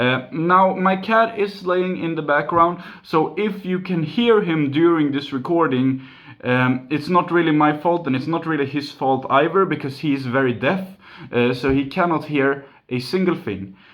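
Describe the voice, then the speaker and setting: A man with a Swedish accent speaks at a fairly high pitch. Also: ordinary pitch variation, moderate pace. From Sweden, near Gothenburg. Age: 20s. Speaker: YouTuber, mobile game channel. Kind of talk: Q and A video, casual.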